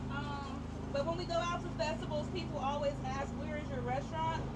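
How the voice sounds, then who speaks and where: Loud background noise accompanies a woman talking at a moderate speed. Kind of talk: interview answer. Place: street.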